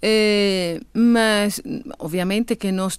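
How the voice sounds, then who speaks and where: A woman talks with a Venezuelan accent on a very clean recording with a silent background. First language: Spanish (speaking Portuguese). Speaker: immigrant association representative. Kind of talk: radio interview. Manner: halting, many fillers.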